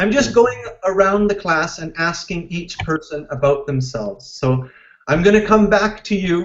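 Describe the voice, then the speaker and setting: A man talks at a moderate pace with a Canadian accent. His intonation is lively. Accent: Canadian, close to American. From Canada. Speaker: English teacher. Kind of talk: online class. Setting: video call. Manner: animated.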